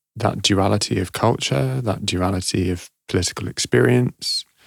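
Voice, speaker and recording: The speaker talks at a fairly slow pace with a London accent. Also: man. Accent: southern English (London). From London, England (born Glasgow, Egyptian parents). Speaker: actor and activist. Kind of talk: interview conversation. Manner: hesitant, many fillers.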